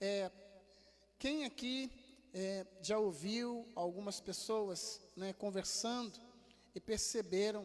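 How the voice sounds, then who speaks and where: This man's voice is high in pitch, with ordinary pitch variation. He speaks at a very slow pace. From Rio de Janeiro, Brazil. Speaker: pastor. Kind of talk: sermon. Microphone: improved audio, less echo than usual.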